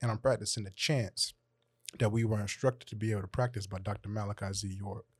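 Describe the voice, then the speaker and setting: A man with an American accent talks very fast at a fairly low pitch, somewhat breathy and with fairly even intonation, in a dry, close sound with no echo on a very clean recording with a silent background. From Atlanta, Georgia. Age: 20s. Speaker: poet and rapper. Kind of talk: panel discussion.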